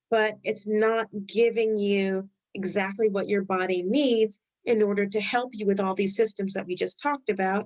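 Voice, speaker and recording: With a slight Rhode Island accent, a woman of medium pitch speaks at a moderate pace in a monotone, flat intonation. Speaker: health educator. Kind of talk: webinar presentation. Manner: halting.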